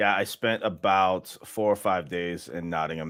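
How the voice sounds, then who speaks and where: This man's very deep, low voice moves with ordinary pitch variation. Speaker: fan channel host, poker player. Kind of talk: watchalong commentary and casual chat. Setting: livestream. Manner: animated.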